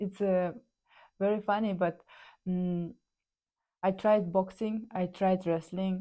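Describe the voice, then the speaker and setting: In a Kazakh accent, a woman talks very slowly in a dark, mellow tone with monotone, flat intonation and long, frequent pauses. The recording is very clean with a silent background. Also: medium pitch for a woman. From Kazakhstan. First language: Kazakh or Russian. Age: 30s. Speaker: ice hockey player. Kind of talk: personal storytelling. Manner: halting, many fillers.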